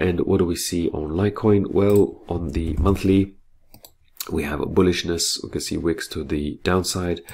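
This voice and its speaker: A man speaks with a very deep, low pitch and a somewhat breathy voice. His pace is moderate and his intonation fairly even. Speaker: forex market analyst. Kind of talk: webinar market analysis. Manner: halting with repetitions.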